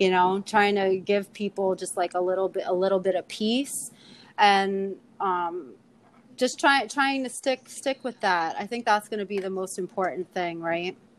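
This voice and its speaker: A woman's medium-pitched voice in a New York accent, at a moderate pace with ordinary pitch variation. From New York, Queens (Astoria). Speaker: poet and tarot card reader. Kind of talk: casual chat.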